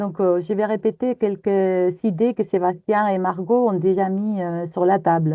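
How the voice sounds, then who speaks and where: With a Spanish accent, a woman speaks at medium pitch and a fairly slow pace, with fairly even intonation and hardly any pauses. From Spain. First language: Spanish (speaking French). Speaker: EU project consultant. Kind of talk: webinar presentation.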